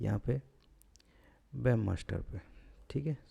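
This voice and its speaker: A man with a relaxed tone. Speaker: blogging tutorial youtuber. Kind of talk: screen-recorded tutorial. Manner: lazy, relaxed delivery.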